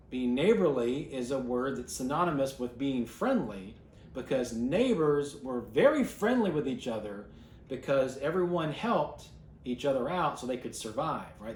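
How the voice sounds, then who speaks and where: With audible room echo, a man speaks at a moderate pace in a fairly high pitch. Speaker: bible class teacher. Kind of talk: bible class teaching.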